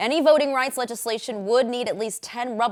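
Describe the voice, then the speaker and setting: A woman with an American accent speaks in an ordinary speaking voice at a fairly high pitch, with lively intonation. The recording is very clean, with a silent background. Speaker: news anchor. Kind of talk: local TV news anchor read.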